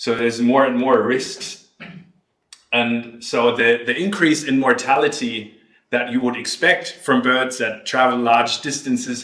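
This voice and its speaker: Audible room echo surrounds a man with a German accent who speaks at a fairly slow pace, his medium-pitched voice keeping a fairly even intonation. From Germany. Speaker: ornithologist researcher. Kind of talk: lecture.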